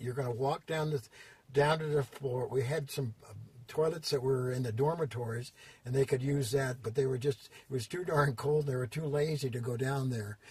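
A man's medium-pitched voice comes across as somewhat breathy. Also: fairly even intonation, moderate pace. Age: 80s+. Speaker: fitness industry designer and consultant. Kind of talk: interview answer, storytelling. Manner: hesitant, many fillers.

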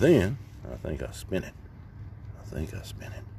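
The recording has a dry sound with no echo. Noticeable background noise runs underneath. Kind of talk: casual vlog chat. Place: open country.

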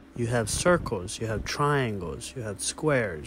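A man talks at a fairly slow pace. The sound is dry with no echo, but there is noticeable background noise. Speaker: vlogger touring a homestead. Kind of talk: casual vlog chat. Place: bathroom. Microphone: phone near.

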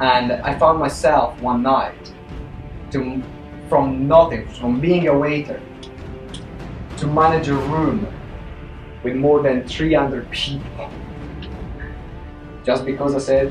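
Over clear background music, a man speaks at a very slow pace with fairly even intonation and long, frequent pauses. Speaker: motivational speaker. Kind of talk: motivational talk. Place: meeting room. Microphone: camera far.

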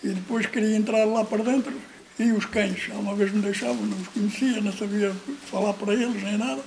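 A man speaks at a high pitch with ordinary pitch variation. His pace is moderate, with light background noise. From Portugal. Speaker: former emigrant. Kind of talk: testimony. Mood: warm, smiling storytelling. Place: home room.

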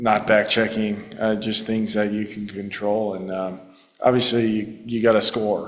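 A man at a moderate pace, fairly low in pitch with little pitch movement, amid audible room echo

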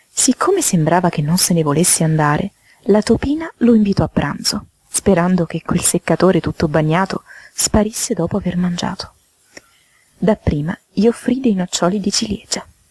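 With a slightly mellow tone and a slightly husky edge, the voice moves at a moderate pace with lively intonation in a dry, close sound with no echo. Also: woman, fairly low pitch for a woman.

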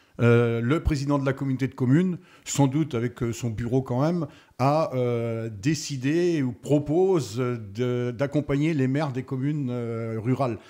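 Talking at a fairly slow pace, a man has a dark, mellow tone, a medium pitch and ordinary pitch variation. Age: 60s. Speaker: retired farmer, municipal candidate. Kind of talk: radio interview.

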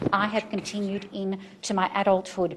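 Somewhat breathy, a woman speaks in an Australian accent at a medium pitch. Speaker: farmers market organizer. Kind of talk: presentation to city council. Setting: city council meeting.

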